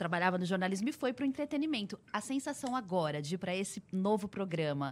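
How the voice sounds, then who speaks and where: In a very clean recording with a silent background, a woman speaks at a fairly quick pace with very wide pitch swings. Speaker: radio host. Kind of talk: interview.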